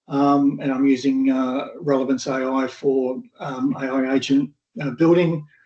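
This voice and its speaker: A man speaks at a medium pitch and a fairly slow pace. His intonation is monotone and flat. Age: 60s. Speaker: AI consultant. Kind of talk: casual chat. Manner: halting.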